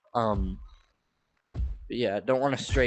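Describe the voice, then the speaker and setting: A man is speaking. His pace is fairly slow. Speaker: gaming streamer. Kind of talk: casual live stream commentary. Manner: filler-heavy, halting.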